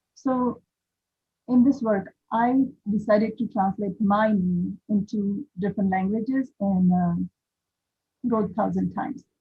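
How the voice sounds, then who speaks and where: Somewhat breathy and at a medium pitch, a woman speaks with fairly even intonation and long, frequent pauses. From western India. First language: Indian language (not English). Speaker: visual artist. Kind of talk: panel talk about own artwork. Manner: halting, many fillers; quiet. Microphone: too quiet, far from the mic.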